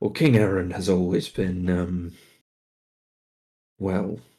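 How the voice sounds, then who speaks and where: A man puts on a raspy character voice with a very deep, low pitch. He speaks at a fairly slow pace. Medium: actual play. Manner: chatty, swaggering.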